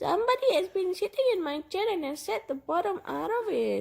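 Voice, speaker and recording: An extremely high pitch defines this put-on character voice. Its pace is fairly quick. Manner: plaintive storybook delivery.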